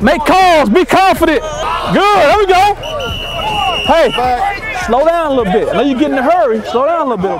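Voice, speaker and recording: The speech moves at a fairly quick pace while crowd noise fills the background. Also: man, dry sound with no echo. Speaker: assistant football coach. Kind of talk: coaching instructions and encouragement. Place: stadium. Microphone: lapel.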